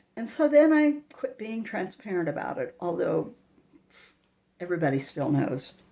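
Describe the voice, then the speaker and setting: Her fairly high voice shows very wide pitch swings, big swings in loudness and vocal fry as the woman talks at a moderate pace. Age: 70s. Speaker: network marketing coach. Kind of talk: vlog monologue.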